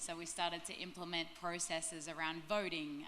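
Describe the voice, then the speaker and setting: Audible room echo surrounds a woman with an Australian accent. She talks at a moderate pace with a fairly low pitch and monotone, flat intonation. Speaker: sustainability director. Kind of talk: panel discussion. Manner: many filler ums.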